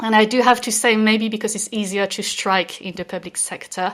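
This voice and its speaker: A woman with a French accent. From France. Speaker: reward consultant. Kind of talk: podcast discussion. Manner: hesitant, many fillers.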